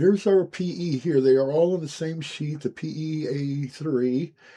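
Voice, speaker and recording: A relaxed, dark and mellow tone with ordinary pitch variation. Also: man. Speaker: scale model building youtuber. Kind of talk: hobby build tutorial. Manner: casual, relaxed.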